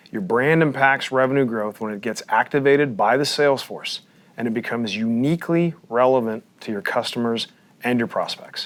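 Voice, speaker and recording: A man with an American accent at a medium pitch, fairly quick in pace with ordinary pitch variation, amid noticeable background noise. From Texas. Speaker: podcast host, company CEO. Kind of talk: interview. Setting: studio.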